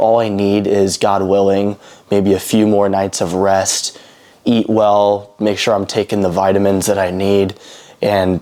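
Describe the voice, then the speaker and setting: A man's fairly slow, monotone delivery with flat intonation. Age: 20s. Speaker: vlogger, pilot trainee. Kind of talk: casual personal monologue. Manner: halting, many fillers and repeats.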